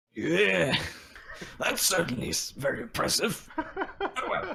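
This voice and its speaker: A put-on character voice, raspy and delivered at a fairly slow pace. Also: man, high pitch for a man. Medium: actual play. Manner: solemn, declamatory.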